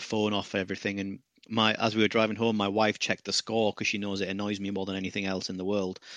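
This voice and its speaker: A man with a British accent speaks at a very fast pace with hardly any pauses, his fairly low voice monotone and flat, recorded dry and close with no echo against a quiet background. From Britain. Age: 30s. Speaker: football pundit. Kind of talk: casual chat.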